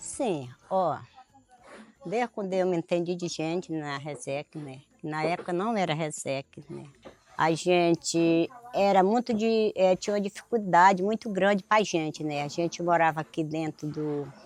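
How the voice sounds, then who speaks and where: A woman talks at a fairly slow pace, her pitch fairly low with ordinary variation. The sound is dry and close with no echo, and background noise is noticeable. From Brazil, Acre (Amazon extractive reserve). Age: 60s. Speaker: extractive reserve resident, farmer. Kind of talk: oral history testimony.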